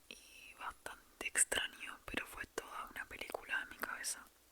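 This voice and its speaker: A whispering woman at a fairly slow pace amid noticeable background noise. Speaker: ASMR creator. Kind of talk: whispered ASMR storytelling. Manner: whispered.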